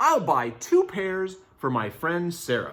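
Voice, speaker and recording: A man's put-on character voice, high in pitch and fairly slow in pace. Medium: read story. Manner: eager, expressive.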